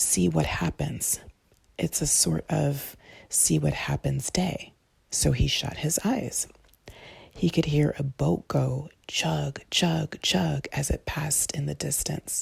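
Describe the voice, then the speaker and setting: The voice has a gentle tone and moves at a very slow pace. Long, frequent pauses break up the speech. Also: woman. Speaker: ASMR creator. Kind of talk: sleep story reading. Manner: soft, gentle.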